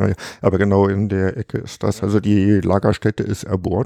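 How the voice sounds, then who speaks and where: The voice has a dark, mellow tone with vocal fry. The sound is dry and close, with no echo. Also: man. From Harz, Germany. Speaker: retired geologist and cave researcher. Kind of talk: casual interview. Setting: at his home.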